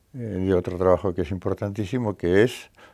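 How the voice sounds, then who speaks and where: A man speaks in a very deep, low pitch with a dark, mellow tone and ordinary pitch variation. The recording is very clean, with a silent background. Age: 80s+. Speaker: editor and translator. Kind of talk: interview. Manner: hesitant with fillers.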